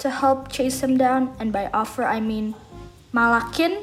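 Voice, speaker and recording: With a non-native accent, a woman talks at a moderate pace with ordinary pitch variation over noticeable background noise. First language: not English. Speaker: fan content creator. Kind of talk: casual Q&A chat. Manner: animated.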